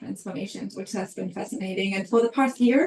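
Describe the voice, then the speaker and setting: Noticeable background noise sits behind a fairly quick voice with ordinary pitch variation and a German accent. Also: woman. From Germany. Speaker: HR consultant. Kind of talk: webinar presentation. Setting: online webinar.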